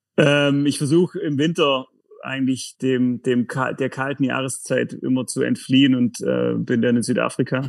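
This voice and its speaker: His pitch is medium and his intonation fairly even. This man keeps to a moderate pace. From Lake Constance region, southern Germany. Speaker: company executive. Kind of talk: podcast interview. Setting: video call. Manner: hesitant, many fillers.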